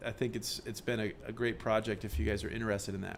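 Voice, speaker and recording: A man's voice comes with audible room echo. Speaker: university professor. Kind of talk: lecture. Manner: fast; halting, many fillers and restarts.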